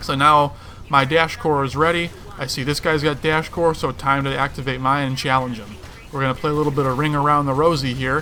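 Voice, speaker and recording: A man with fairly high pitch at a fairly quick pace, amid noticeable background noise. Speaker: gaming youtuber. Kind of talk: gameplay commentary. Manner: fast; animated.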